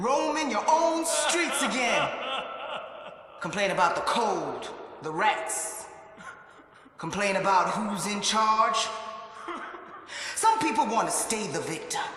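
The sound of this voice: A man's put-on character voice, high-pitched with big pitch swings, slow and full of long, frequent pauses, in strong room echo. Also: bright, sharp tone.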